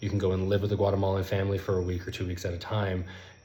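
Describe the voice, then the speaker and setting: A man's very deep, low voice, somewhat breathy, with a dark, mellow tone, a flat monotone, a very fast pace, and audible room echo. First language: not Spanish; Spanish is his third language. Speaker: language learning content creator. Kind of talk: casual vlog monologue.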